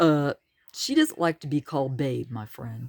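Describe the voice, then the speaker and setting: A put-on character voice, low-to-middle in pitch, at a moderate pace. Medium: read story. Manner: surfer slang, teasing.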